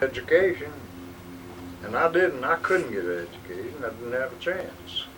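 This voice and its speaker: Speaking at a moderate pace in a Southern US accent, a man of medium pitch makes very wide pitch swings and long, frequent pauses over noticeable background noise. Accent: Southern American. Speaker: World War II veteran; farmer. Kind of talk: casual conversation.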